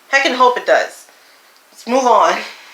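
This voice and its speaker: A woman speaks fairly quickly while noticeable background noise runs underneath. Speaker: YouTuber. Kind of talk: casual vlog monologue.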